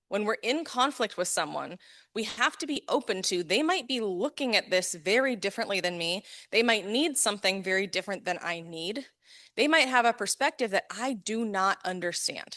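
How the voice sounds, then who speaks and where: A loud woman with an American accent speaks at a medium pitch and a moderate pace, her bright, sharp tone animated and her intonation lively against a quiet background. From US West Coast, Los Angeles. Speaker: neurodiversity coach and conference speaker. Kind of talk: conference talk.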